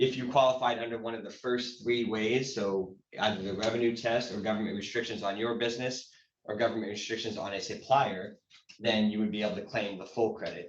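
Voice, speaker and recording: In a room with audible echo, a man talks fairly quickly at a medium pitch with monotone, flat intonation. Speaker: tax credit consultant. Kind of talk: informational workshop presentation. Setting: hybrid workshop event. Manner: fast.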